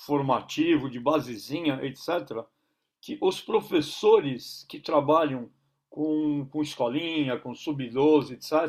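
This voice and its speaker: Loudness jumps up and down a great deal. Speech comes fairly slowly, with pitch shifting in an ordinary way. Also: man, fairly high pitch for a man. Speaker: basketball coach and consultant. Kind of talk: interview. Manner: halting, many repetitions.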